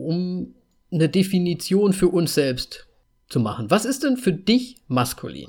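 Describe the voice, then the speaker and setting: Very wide pitch swings at a fairly slow pace, in a very clean recording with a silent background. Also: man. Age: 30s. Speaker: podcast host, designer. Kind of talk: casual chat.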